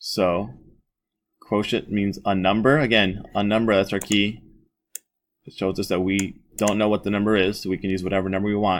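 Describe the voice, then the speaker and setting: A man speaks in a fairly low pitch. His intonation is fairly even. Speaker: math teacher. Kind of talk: tutorial. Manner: fast; casual.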